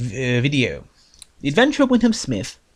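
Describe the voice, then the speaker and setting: Mumbling, a man speaks with fairly even intonation. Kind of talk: book review talk. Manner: mumbles a bit in places.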